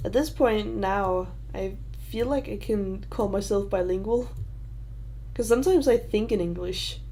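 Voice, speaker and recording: There is audible room echo around a woman with a Danish accent. She leaves long, frequent pauses. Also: moderate pace. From Denmark. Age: 20s. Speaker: YouTuber. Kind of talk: livestream Q&A. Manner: halting.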